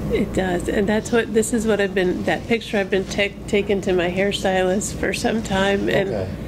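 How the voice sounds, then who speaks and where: A woman with an American accent speaks at a moderate pace in a monotone, flat voice with very even loudness and hardly any pauses, over noticeable background noise. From US Midwest. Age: 50s. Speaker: makeover client. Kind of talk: interview. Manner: soft-spoken; halting. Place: studio.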